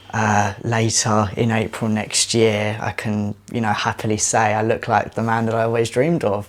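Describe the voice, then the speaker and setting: A man at a medium pitch and moderate pace with hardly any pauses, amid noticeable background noise. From Essex, England. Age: 20s. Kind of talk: interview.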